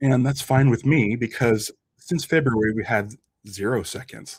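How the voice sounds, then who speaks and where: A man of medium pitch talks at a moderate pace. His pitch varies in an ordinary way, with vocal fry. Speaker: YouTube reaction host. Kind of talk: video reaction and analysis. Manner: casual, hesitant with fillers.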